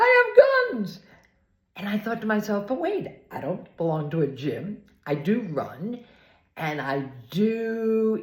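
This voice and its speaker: At a very slow pace, a woman speaks in a somewhat breathy voice of medium pitch, with audible room echo. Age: 70s. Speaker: video blogger. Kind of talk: casual storytelling vlog. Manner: animated.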